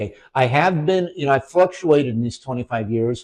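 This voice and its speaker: The man's voice pairs a fairly high pitch with a dark, mellow tone. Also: quiet background. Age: 60s. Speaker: weight-loss mindset coach and nurse. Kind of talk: casual interview chat. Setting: kitchen. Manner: halting, many repetitions and fillers.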